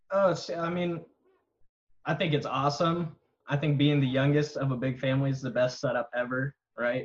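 With an American accent, a man speaks at a moderate pace, taking long, frequent pauses. His voice is somewhat breathy and fairly high, with fairly even intonation. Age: 20s. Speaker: real estate agent. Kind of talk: casual chat.

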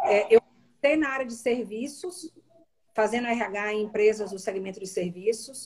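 A somewhat breathy woman speaks at a fairly high pitch with lively intonation and big swings in loudness. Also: moderate pace. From Bahia, Brazil (Salvador). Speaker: HR executive. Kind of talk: live-stream interview.

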